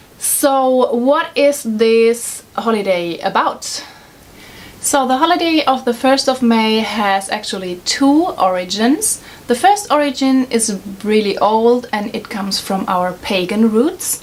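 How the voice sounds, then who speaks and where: With a German accent, a woman speaks at a very slow pace in a high pitch with lively intonation. Noticeable background noise is present. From Germany. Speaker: vlogger. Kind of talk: casual explainer vlog. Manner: hesitant, many fillers.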